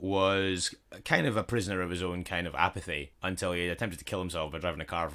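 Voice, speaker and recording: A man's very deep, low voice in a Scottish accent, bright and sharp in tone, at a very fast pace in a very clean recording with a silent background. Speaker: podcast co-host. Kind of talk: casual podcast conversation.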